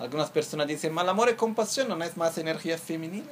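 A man with a fairly high pitch. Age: 30s. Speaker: Buddhist teacher. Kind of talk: dharma teaching.

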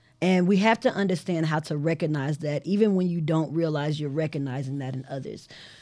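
In a very clean recording with a silent background, a woman with a very deep, low pitch and a dark, mellow tone talks at a fairly quick pace with hardly any pauses and ordinary pitch variation. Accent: American. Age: 40s. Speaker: podcast host. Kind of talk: interview. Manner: animated.

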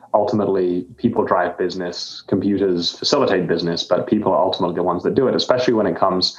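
Over noticeable background noise, a man with a very deep, low pitch talks at a very fast pace with fairly even intonation. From grew up abroad, born in the UK. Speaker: software company founder and CEO. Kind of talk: interview. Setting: remote call into virtual studio.

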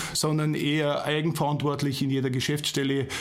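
Speaking at a fairly quick pace, a man is heard with audible room echo. Noticeable background noise runs under his voice. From Ingolstadt, Bavaria. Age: 40s. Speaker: managing director. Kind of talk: casual interview. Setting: studio.

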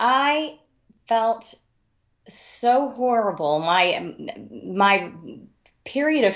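A woman is speaking. She has a Texan accent. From Texas Panhandle, Amarillo. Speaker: mystery author. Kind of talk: interview.

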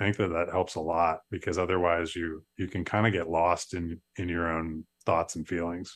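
A man talks at a moderate pace in a very deep, low pitch with hardly any pauses. His intonation is monotone and flat, and the background is quiet. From upstate New York. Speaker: startup founder. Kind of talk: interview.

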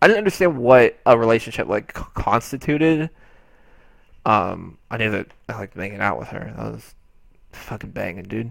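Over a silent background on a very clean recording, a man with medium pitch, vocal fry and lively intonation talks at a moderate pace, leaving long, frequent pauses as his loudness swings widely. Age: 20s. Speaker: podcast co-host. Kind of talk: casual chat.

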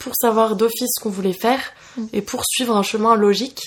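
Fairly high in pitch, a woman talks at a fairly quick pace with fairly even intonation in an unremarkable speaking voice. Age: 20s. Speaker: podcast host. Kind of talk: casual chat. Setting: recording over coffee.

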